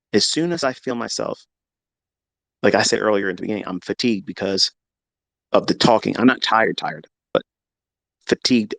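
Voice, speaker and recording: Over a quiet background, a man with a fairly low pitch talks at a fairly quick pace in a dry, close sound with no echo. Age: 50s. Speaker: trading educator streamer. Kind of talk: live stream monologue. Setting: home office. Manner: animated.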